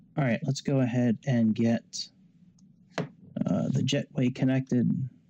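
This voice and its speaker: The pace here is fairly slow. The voice is soft-spoken. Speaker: flight sim youtuber. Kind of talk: tutorial.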